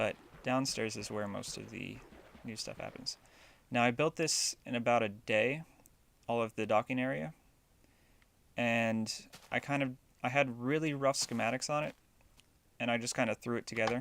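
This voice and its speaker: Speaking at a moderate pace with a medium pitch and ordinary pitch variation, a man leaves long, frequent pauses on a very clean recording with a silent background. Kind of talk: casual video game tutorial narration. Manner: mumbly.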